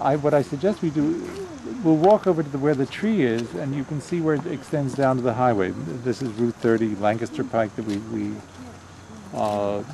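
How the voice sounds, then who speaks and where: Over noticeable background noise, a man with an American accent speaks at a medium pitch and a moderate pace, his intonation lively. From Pennsylvania, Philadelphia and West Chester. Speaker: family elder giving a tour. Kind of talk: casual reminiscing tour. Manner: halting.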